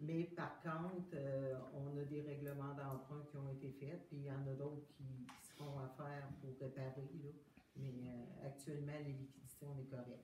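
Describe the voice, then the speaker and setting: Someone with a Quebec accent speaks at a fairly slow pace. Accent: Québécois French. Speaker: municipal official. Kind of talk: council meeting question period. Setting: municipal council meeting.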